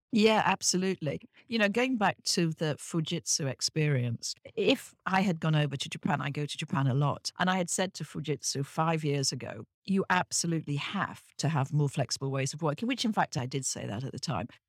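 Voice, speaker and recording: Using lively intonation and a very deep, low pitch, a woman with a British accent speaks at a fairly quick pace with hardly any pauses, in a dry, close sound with no echo and a very clean recording with a silent background. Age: 60s. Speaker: business professor and author. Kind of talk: interview conversation.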